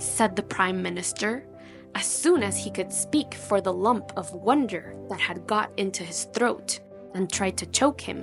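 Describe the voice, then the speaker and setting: There is music behind the voice. The delivery is fairly slow. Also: woman. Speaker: audiobook narrator. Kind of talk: storybook narration.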